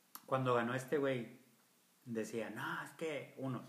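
A medium-pitched man with a bright, sharp tone speaks at a very slow pace. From Monterrey, Mexico. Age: 40s. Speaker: podcast co-host. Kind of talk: casual chat.

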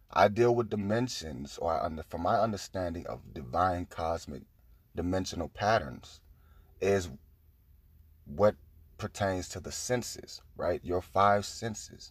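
Speaking at a fairly slow pace with long, frequent pauses, a man uses a very deep, low voice with vocal fry, on a very clean recording with a silent background. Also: ordinary pitch variation. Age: 20s. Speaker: spiritual podcaster. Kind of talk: spiritual monologue.

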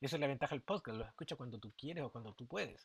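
Somewhat breathy and with a Chilean accent, this voice shows ordinary pitch variation in a very clean recording with a silent background. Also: man. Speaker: teacher and podcast host. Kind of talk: solo podcast monologue. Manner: casual, conversational.

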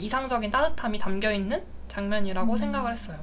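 This woman talks at a fairly high pitch while noticeable background noise carries on. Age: 20s. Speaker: guest, office worker, recommended the book. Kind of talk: casual podcast chat.

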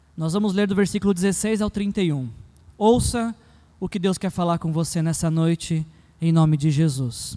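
This man has a high pitch and a dark, mellow tone. He talks at a fairly slow pace with ordinary pitch variation. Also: very clean recording, silent background. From Brazil, São Paulo. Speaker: pastor. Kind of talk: sermon. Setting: church.

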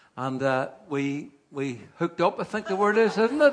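A man with a Northern Irish accent speaks at a moderate pace in a fairly high pitch. His intonation is lively, and there is noticeable background noise. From Northern Ireland, Carryduff. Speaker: preacher. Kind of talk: sermon.

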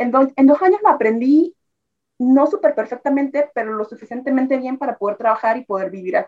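Dry and close with no echo, a woman's high voice moves at a fairly quick pace with lively intonation. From Nicaragua, Tipitapa near Managua. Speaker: immigrant sharing life story. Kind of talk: interview testimony.

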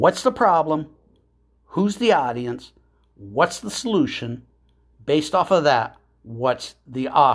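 Very slow and full of long, frequent pauses, a man speaks at a fairly high pitch with vocal fry and very wide pitch swings. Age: 60s. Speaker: podcast host and business coach. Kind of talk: motivational monologue. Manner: emphatic, repetitive.

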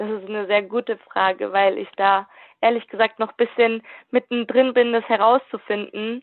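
Her pitch fairly high and her intonation flat and monotone, a woman talks at a moderate pace. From Germany, Württemberg. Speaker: youth work volunteer. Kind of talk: interview.

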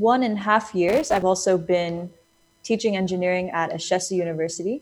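An ordinary speaking voice from a woman in an American accent, medium pitch with ordinary pitch variation at a moderate pace. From United States. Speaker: education NGO founder. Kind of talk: interview.

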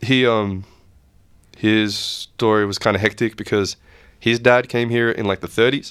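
A man with an Australian accent speaks at a moderate pace and a fairly low pitch. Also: very clean recording, silent background. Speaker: music producer. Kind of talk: casual chat.

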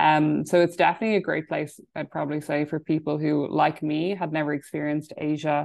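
In an Irish Midlands accent, a woman speaks at a very fast pace in a very deep, low voice. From Ireland, County Laois. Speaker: business development advisor. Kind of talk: casual interview. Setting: video call.

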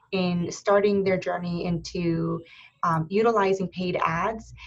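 An American-accented woman with an unremarkable speaking voice, medium pitch, fairly even intonation and a fairly slow pace. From Erie, Pennsylvania. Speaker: podcast host. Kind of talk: casual interview.

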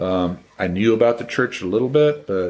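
Noticeable background noise sits behind a man whose voice has a fairly low pitch. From Washington State, US Pacific Northwest. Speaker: retired forester and firefighter. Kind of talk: casual interview. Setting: home.

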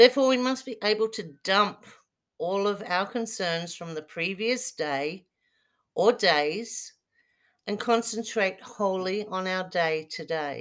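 A woman with an Australian accent speaks very slowly at a medium pitch, with ordinary pitch variation and big swings in loudness, on a very clean recording with a silent background. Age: 50s. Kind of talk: casual monologue with guided relaxation.

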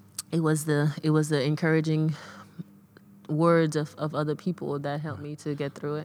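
Monotone and flat, a woman speaks at a moderate pace with a very deep, low pitch. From Saint Vincent. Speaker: former pro basketball player, high school coach. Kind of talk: interview. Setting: gym.

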